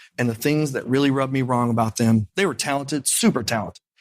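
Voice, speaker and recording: On a very clean recording with a silent background, a man with an Indiana accent speaks at a very fast pace in an animated tone at a medium pitch. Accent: Midwestern US (Indiana). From Indiana, Lafayette. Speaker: piano bar entertainer. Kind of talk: interview.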